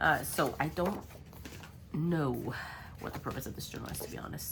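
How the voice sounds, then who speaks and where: A woman's very deep, low voice with very wide pitch swings, at a fairly quick pace, in audible room echo. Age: 30s. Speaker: crafting video creator. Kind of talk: casual chat while crafting. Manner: hesitant, many fillers.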